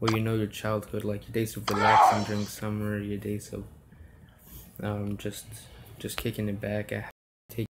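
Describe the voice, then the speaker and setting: The delivery moves at a moderate pace. Long, frequent pauses break it up. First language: Spanish. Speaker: mobile game streamer. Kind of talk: live game stream commentary. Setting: home room, solo live stream. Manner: halting with many fillers.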